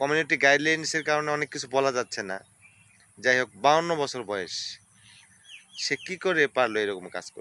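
Lively intonation and big swings in loudness mark this man's fairly high voice, heard in a dry, close sound with no echo. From Bangladesh, Bogura (Shibganj). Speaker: local news video creator. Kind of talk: news commentary monologue. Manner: animated.

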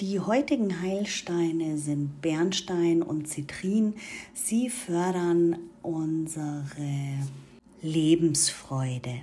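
Speaking at a very slow pace with long, frequent pauses, a woman uses a warm, calm tone, a fairly low pitch and ordinary pitch variation. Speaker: spiritual content creator. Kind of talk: guided meditation; instructional talk with ritual tips. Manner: calm, soothing, gentle; slow, warm, intimate.

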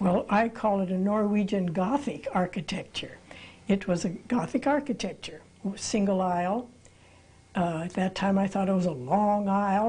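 A woman speaks at a moderate pace in a dark, mellow tone, somewhat breathy, with ordinary pitch variation. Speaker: interviewee, pastor's daughter. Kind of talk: interview answer. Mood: calm, reflective. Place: studio.

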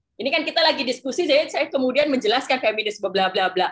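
Her pitch swinging very widely, a woman speaks. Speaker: author. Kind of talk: book discussion Q&A. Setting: video call.

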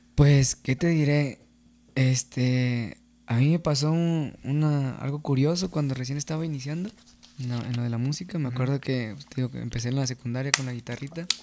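A man's fairly high voice, dark and mellow in tone, at a moderate pace with fairly even intonation over light background noise. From Mexico, San Gabriel, Jalisco; Jalisco, Mexico. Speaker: singer-songwriter of corridos; podcast guest. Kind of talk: casual interview chat. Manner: hesitant, many fillers. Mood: relaxed, reminiscing. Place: studio. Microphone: studio mic.

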